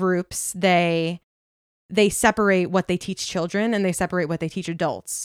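A woman speaks with an American accent and fairly even intonation. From Long Island, New York. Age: 20s. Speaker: former Jehovah's Witness. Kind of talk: casual interview. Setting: her own apartment.

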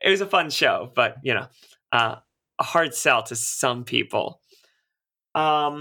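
On a very clean recording with a silent background, a man speaks very slowly in a fairly high, bright, sharp tone with ordinary pitch variation. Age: 30s. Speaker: actor and singer. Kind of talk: casual interview. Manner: hesitant, many filler words.

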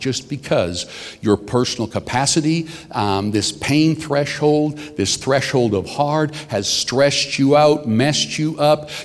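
A man talks with lively intonation at a fairly slow pace in a normal speaking voice. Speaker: senior pastor. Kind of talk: sermon.

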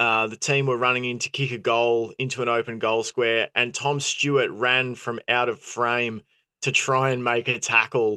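The recording is dry and close with no echo as a man with an Australian accent speaks at a moderate pace, with a medium pitch, a bright, sharp tone, and monotone, flat intonation. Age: 30s. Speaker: football podcast host. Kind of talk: casual chat. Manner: halting.

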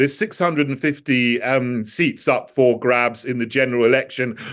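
With a British accent, a man speaks at a moderate pace against a quiet background. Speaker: politician. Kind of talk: interview.

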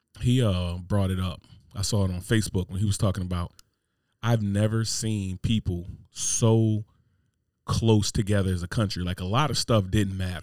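With a normal speaking voice, a man talks at a moderate pace with fairly low pitch and fairly even intonation, on a very clean recording with a silent background. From New Jersey. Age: 30s. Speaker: podcast host. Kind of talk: casual chat.

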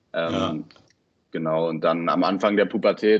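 Moderate in pace, a man speaks with fairly even intonation. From Berlin, early childhood in Baden-Württemberg. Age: 20s. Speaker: football coach and student. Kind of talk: interview. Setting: podcast recording. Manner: hesitant, many fillers.

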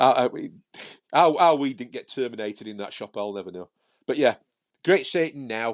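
Here a man speaks with a Yorkshire accent at a moderate pace and medium pitch, with lively intonation. The sound is dry and close with no echo, over a quiet background. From Yorkshire, Sheffield area. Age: 50s. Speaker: professional miniature painter and author. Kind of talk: casual chat.

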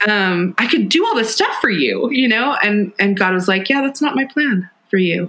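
A woman with an unremarkable speaking voice talks at a moderate pace and a medium pitch, with lively intonation. She hardly pauses, and her loudness stays very even. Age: 40s. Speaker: author. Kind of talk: interview conversation. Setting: at home kitchen table.

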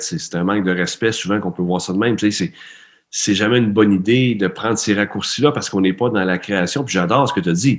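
His pitch fairly low and its movement ordinary, the man talks at a moderate pace. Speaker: performance coach, interviewer. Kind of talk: interview. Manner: animated.

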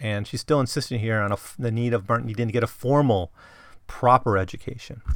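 Fairly quick delivery with ordinary pitch variation in a very clean recording with a silent background. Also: man, medium pitch for a man. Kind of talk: solo literary analysis podcast. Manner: casual, with many fillers.

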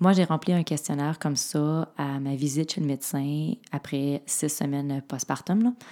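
A woman's very deep, low voice with a dark, mellow tone, fairly slow and with hardly any pauses. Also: ordinary pitch variation, very clean recording, silent background. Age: 40s. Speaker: podcast host. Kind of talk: interview.

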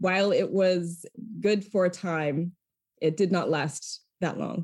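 With an American accent, a woman speaks in an unremarkable speaking voice at a medium pitch and moderate pace, on a very clean recording with a silent background. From Maine, US (Lewiston). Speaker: foundation communications executive. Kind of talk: interview.

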